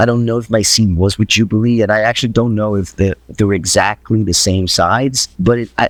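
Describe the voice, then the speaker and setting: Speaking at a fairly quick pace with a fairly low pitch, a man with an American accent keeps his intonation fairly even, and the sound is dry and close with no echo. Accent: mostly American, slight Brazilian. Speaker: voice actor. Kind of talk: interview. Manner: halting, with many restarts.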